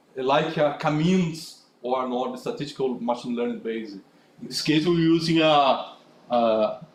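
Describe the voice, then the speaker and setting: Audible room echo surrounds a man with a fairly high pitch who speaks at a fairly slow pace with lively intonation. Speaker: conference speaker. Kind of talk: technical talk with Q&A. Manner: halting, many fillers.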